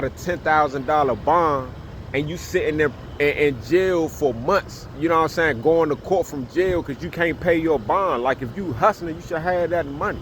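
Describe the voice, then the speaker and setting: A man speaks at a fairly high pitch with ordinary pitch variation. Noticeable background noise runs underneath. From Washington DC. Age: 40s. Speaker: YouTuber, former prisoner. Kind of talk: casual storytelling monologue. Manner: casual, repetitive with fillers.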